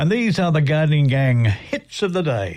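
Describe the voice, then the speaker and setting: With a warm, somewhat breathy tone, a man speaks at a fairly high pitch and a moderate pace, his pitch swinging very widely. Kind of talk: radio dj patter. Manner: relaxed, jokey, bantering; chatty, warm on-air banter.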